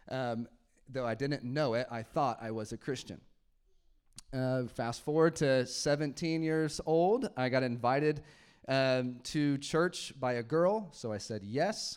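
A man with an unremarkable speaking voice talks at a fairly slow pace, his medium pitch showing ordinary variation. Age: 30s. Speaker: pastor. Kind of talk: sermon. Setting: church. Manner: casual, laughing often.

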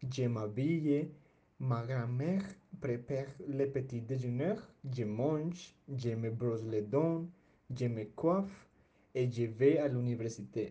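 A dark, mellow, somewhat breathy voice with a Spanish accent moves at a very slow pace with ordinary pitch variation. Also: man. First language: Spanish (speaking French). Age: young (19). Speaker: language student. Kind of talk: prepared personal presentation. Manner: halting.

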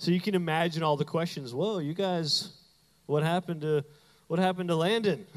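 His pitch rises and falls in an ordinary way. The voice belongs to a man. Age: 30s. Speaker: pastor. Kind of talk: sermon. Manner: animated.

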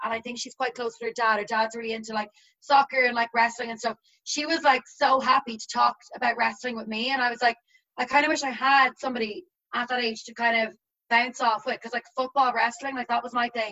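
A woman with an Irish accent speaks at a high pitch and a fairly quick pace. Her intonation is monotone and flat, yet her loudness swings widely. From Ireland. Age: 20s. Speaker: teacher. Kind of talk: casual chat. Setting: video call.

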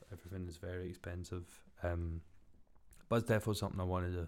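In a very clean recording with a silent background, a man with a Glaswegian accent speaks in a very deep, low pitch and fairly even intonation. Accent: Glaswegian Scottish. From Scotland, Glasgow. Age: 20s. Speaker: podcast host, builder. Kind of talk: casual solo monologue. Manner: monotone.

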